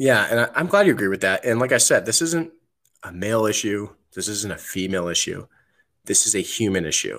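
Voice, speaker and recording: A man speaks at a fairly quick pace with an American accent. The recording is very clean, with a silent background. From New Jersey. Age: 30s. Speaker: military veteran and podcast host. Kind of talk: podcast interview.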